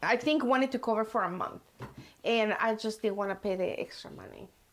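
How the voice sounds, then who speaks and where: With a Mexican accent, a woman talks at a fairly quick pace, with fairly even intonation, big swings in loudness, and long, frequent pauses. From Mexico. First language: Spanish. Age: 50s. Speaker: hair colorist. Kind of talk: casual chat.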